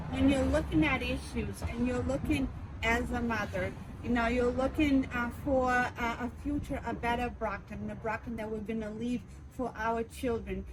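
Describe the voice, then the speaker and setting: A woman with a Portuguese accent at a moderate pace, amid noticeable background noise and audible room echo. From Brazil. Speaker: city councilor and candidate. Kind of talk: interview.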